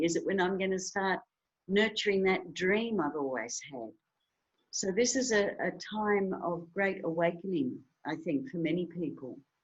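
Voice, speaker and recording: A woman at a medium pitch and moderate pace, with an Australian accent. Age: 60s. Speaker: author and health foundation founder. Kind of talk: podcast interview.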